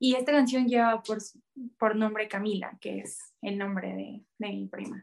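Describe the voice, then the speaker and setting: A woman with a normal speaking voice talks at a fairly slow pace and fairly high pitch, her loudness swinging widely. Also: fairly even intonation. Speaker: singer-songwriter. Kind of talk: interview.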